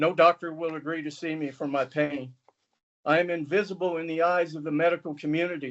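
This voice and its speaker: A man is speaking. His voice sits at a high pitch. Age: 60s. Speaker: public commenter, chronic pain patient. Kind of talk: public comment testimony. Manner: formal, prepared statement.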